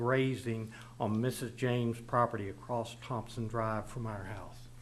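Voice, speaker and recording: In a Texan accent, a man speaks at a fairly slow pace with a medium pitch, and audible room echo can be heard. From Texas (Kerrville, Hill Country). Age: 70s. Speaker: local resident. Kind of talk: prepared public statement. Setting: city council chambers. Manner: formal.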